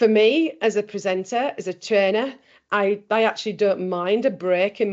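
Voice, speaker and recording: A woman speaks with a Yorkshire accent. Her pitch varies in an ordinary way. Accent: Bradford, Yorkshire. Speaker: trainer. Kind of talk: webinar presentation. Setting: video call.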